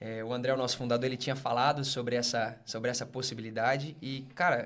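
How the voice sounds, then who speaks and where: The man talks at medium pitch in a monotone, flat intonation. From northern Minas Gerais, Brazil. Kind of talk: casual podcast interview, faith testimony.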